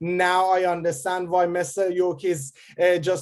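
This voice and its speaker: A man's voice, high in pitch. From Iran. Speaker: rap artist and candidate. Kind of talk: casual chat.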